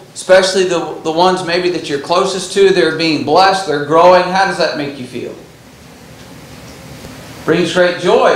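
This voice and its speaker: A high-pitched man's voice rings with audible room echo. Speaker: Bible class teacher. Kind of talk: lecture. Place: church.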